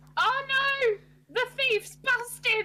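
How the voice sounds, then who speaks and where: A woman's squeaky, put-on character voice at an extremely high pitch, with monotone, flat intonation. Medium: actual play. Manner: brash, cheeky, loud.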